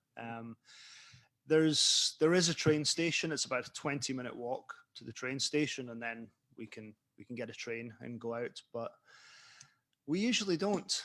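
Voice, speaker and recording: A man with a Scottish accent, medium pitch and a bright, sharp tone, lively intonation, big swings in loudness, a moderate pace and long, frequent pauses. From Scotland. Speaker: author. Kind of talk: interview. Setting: online event. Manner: casual.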